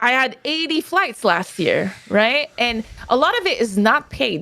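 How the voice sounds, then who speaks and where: Speaking with a French Canadian accent, a woman uses lively intonation. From Quebec, Canada. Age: 30s. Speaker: esports player and analyst. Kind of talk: interview.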